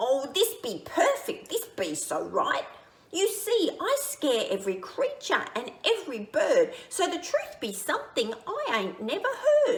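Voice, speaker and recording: A woman talks fairly slowly. Her put-on character voice sits extremely high in pitch. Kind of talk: picture-book read-aloud. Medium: read story. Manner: boastful, bullying, ungrammatical.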